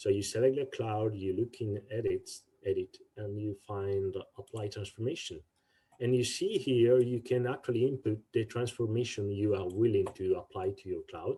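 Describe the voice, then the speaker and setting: A man talks at a medium pitch in a dark, mellow tone with a somewhat breathy quality. His pace is moderate and his intonation fairly even. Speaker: instructor. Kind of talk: tutorial.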